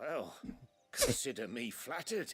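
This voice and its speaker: A raspy, put-on character voice from a man at a moderate pace. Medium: video game. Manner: wry, understated.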